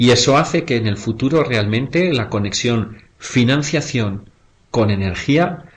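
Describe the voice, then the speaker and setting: A man with a Spanish accent, somewhat breathy, at a fairly slow pace. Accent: Spanish (Spain). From Spain. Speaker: investment fund director. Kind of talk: webinar presentation. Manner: halting, with frequent fillers.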